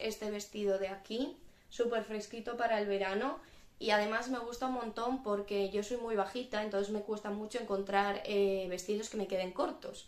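Talking at a fairly quick pace, a woman with a fairly high pitch is heard with audible room echo. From Spain. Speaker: YouTuber. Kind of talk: fashion haul video. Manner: animated. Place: home room. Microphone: phone near.

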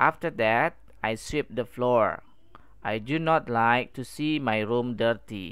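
On a very clean recording with a silent background, the words come out at a very slow pace. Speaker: English teacher. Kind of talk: reading aloud; lecture.

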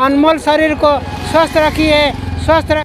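Light background noise accompanies a man speaking at an extremely high pitch in a monotone, flat intonation, the sound dry with no echo. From Odisha, India. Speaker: retired police officer, long-distance walker. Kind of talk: interview answer. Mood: earnest, appealing. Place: street. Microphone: phone near.

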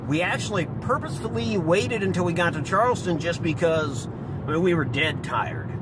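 A man with an American accent at a moderate pace, in a dry sound with no echo and loud background noise. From central Ohio. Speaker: gaming YouTuber. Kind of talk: casual vlog commentary. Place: car.

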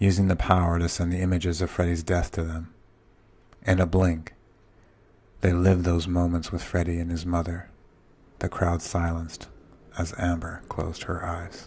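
The voice stays monotone and flat, moving at a moderate pace with long, frequent pauses. It sounds somewhat breathy. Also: man, very deep, low pitch for a man. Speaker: narrator. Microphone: studio mic.

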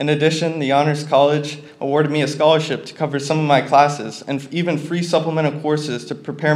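Fairly quick delivery with monotone, flat intonation. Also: man. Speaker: college student; speaker. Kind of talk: prepared speech. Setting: stage with audience. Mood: earnest, slightly nervous. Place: hall. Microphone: podium.

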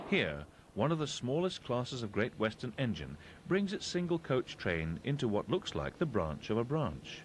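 A voice with vocal fry speaks at a moderate pace, its pitch swinging very widely. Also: man, medium pitch for a man. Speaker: documentary narrator. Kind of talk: vintage railway documentary narration.

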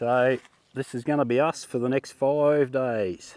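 In a dry sound with no echo, a man's dark, mellow tone carries ordinary pitch variation. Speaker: travel vlogger. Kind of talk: casual vlog chat. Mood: cheerful, relaxed. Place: open country. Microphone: lapel.

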